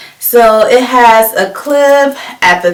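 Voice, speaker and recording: A woman with an American accent speaks at a fairly high pitch over noticeable background noise. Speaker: beauty vlogger. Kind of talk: tutorial. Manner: casual, animated.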